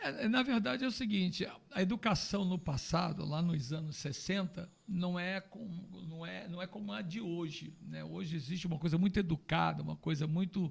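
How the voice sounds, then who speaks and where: With ordinary pitch variation, a man's voice sits at a high pitch. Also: moderate pace. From Rio de Janeiro, Brazil. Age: 60s. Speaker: pastor. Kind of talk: testimony.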